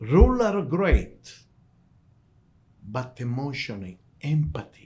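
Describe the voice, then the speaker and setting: A somewhat breathy man's dark, mellow, medium-pitched voice at a very slow pace, with very wide pitch swings. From southern Italy, Calabria. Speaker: restaurant owner. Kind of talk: interview storytelling.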